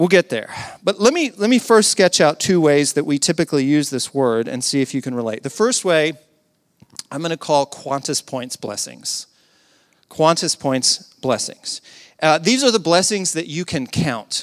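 In an American accent, a man with an unremarkable speaking voice and fairly high pitch uses lively intonation at a moderate pace, with a dry, close sound and no echo. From US South. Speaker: pastor. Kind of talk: sermon.

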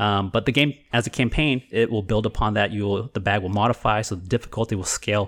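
Speech at a very fast pace with fairly even intonation comes through a very clean recording with a silent background. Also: man. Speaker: podcast host and board game expert. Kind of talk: casual chat. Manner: fast talker.

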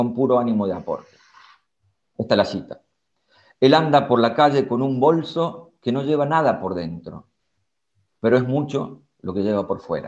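This man has a plain, everyday voice, medium in pitch and moderate in pace. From Córdoba, Argentina. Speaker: psychologist and author. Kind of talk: reading aloud; casual chat.

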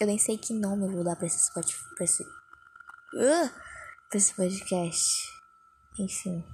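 A woman speaks quietly at a fairly slow pace, with long, frequent pauses. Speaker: podcaster. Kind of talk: casual monologue. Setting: under a blanket at home. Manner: speaking quietly.

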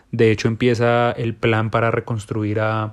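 Speaking against a quiet background, a man delivers his words in a monotone, flat intonation. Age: 20s. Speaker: podcast host. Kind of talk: solo monologue.

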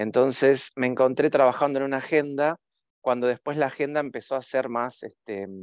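Recorded with a dry, close sound with no echo against a quiet background, a man with a plain, everyday voice talks at a moderate pace with medium pitch and fairly even intonation. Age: 50s. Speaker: communications professional and university lecturer. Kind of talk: interview.

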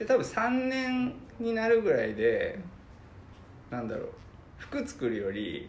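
Amid noticeable background noise and audible room echo, a man speaks at a fairly slow pace with long, frequent pauses. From Fukuoka, Iizuka. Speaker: freelance web designer. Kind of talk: casual interview.

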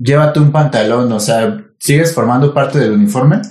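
A man speaks with a Mexican accent. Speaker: podcast co-host. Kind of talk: casual chat.

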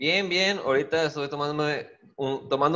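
At a moderate pace, a man talks in a plain, everyday voice. It sits fairly high in pitch and shows ordinary variation. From Guaymas, Sonora, Mexico. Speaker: stand-up comedian. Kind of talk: casual chat.

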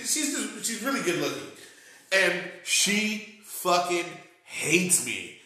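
A man with an American accent uses a raised, projected voice at a high pitch, with lively intonation and a very slow pace. Music plays in the background, and room echo is audible. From Texas, Corpus Christi. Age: 40s. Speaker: stand-up comedian. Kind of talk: casual chat.

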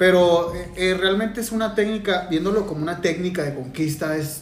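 There is audible room echo as a man with a high voice speaks at a moderate pace. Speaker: podcast co-host and musician. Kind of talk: casual chat.

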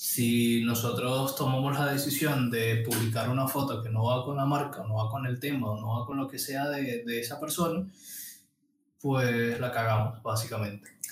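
A man's normal speaking voice at a medium pitch, fairly slow in pace, with fairly even intonation. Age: 30s. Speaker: podcast co-host, graphic designer. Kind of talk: casual chat. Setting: studio.

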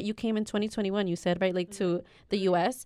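Speaking at a fairly quick pace, a woman with a medium pitch uses a normal speaking voice, and the sound is dry and close with no echo. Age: 20s. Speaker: student council director. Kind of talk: casual chat.

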